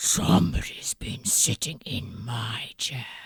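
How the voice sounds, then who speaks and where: A growling put-on character voice, low in pitch, at a very slow pace. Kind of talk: bedtime story. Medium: read story.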